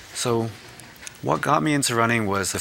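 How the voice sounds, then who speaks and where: Speaking at a fairly quick pace with an American accent, a man is heard over noticeable background noise. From New Jersey, US. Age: 30s. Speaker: marathon runner and charity fundraiser. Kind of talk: interview.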